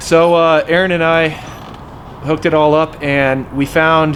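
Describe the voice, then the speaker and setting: The speaker is a man with fairly even intonation. Noticeable background noise runs behind him. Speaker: car builder and YouTube host. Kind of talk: casual garage vlog. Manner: loud.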